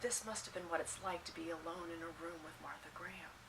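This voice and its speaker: A woman with ordinary pitch variation over noticeable background noise. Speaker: dance vlogger. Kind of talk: interview question.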